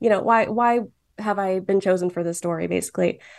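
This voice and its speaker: A woman with an American accent speaks in a normal speaking voice, at medium pitch with ordinary pitch variation. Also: quiet background. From Michigan, Dearborn. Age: 20s. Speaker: cartoonist. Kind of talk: casual chat.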